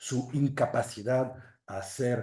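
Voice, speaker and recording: A man talks in a French accent at a medium pitch. His tone is dark and mellow, and somewhat breathy. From western France, Loire valley between Angers and Nantes. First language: French (speaking Spanish). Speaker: literary translator. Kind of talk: lecture. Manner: halting.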